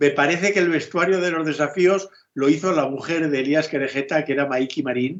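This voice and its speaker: This man uses a normal speaking voice with a fairly high pitch. He keeps a fairly quick pace and fairly even intonation. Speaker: film director. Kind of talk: interview.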